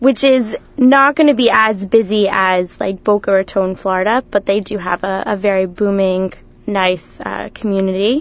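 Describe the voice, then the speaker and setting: In an American accent, a woman uses a normal speaking voice with ordinary pitch variation. She keeps a moderate pace with hardly any pauses. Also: medium pitch for a woman. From US, New Jersey (Cherry Hill, near Philadelphia). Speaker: community program coordinator. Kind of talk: radio interview. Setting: studio.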